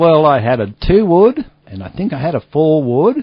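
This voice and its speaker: Speaking with an Australian accent, a man keeps to a moderate pace. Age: 60s. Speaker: golf ball businessman. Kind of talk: interview. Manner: casual, chatty.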